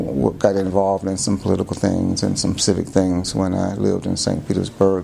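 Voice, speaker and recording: A man with an American accent talks at a fairly quick pace with hardly any pauses, his pitch very deep and low with ordinary variation. Noticeable background noise is present. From Florida, USA. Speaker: lawyer. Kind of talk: oral history interview answer. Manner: hesitant, many fillers.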